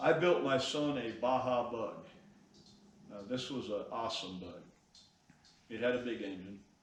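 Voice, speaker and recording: Amid noticeable background noise, a man of medium pitch speaks at a moderate pace with long, frequent pauses and big swings in loudness. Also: ordinary pitch variation. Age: 80s+. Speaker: classic car builder. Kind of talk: interview.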